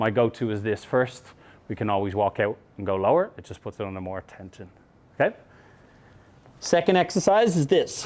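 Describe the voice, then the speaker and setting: Using an Irish accent, a man at a medium pitch makes very wide pitch swings and big swings in loudness, with long, frequent pauses. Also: fairly quick pace. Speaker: mobility coach. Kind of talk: instructional seminar.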